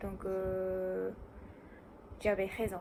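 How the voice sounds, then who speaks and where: A woman with a Japanese accent. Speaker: student. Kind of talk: casual talk to camera. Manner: hesitant, many fillers.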